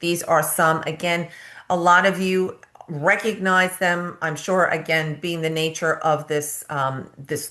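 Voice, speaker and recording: Speaking with a strong New York accent, a woman uses a very deep, low pitch, fairly even intonation and a moderate pace. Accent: thick New York. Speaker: nurse practitioner and nursing educator. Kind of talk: presentation.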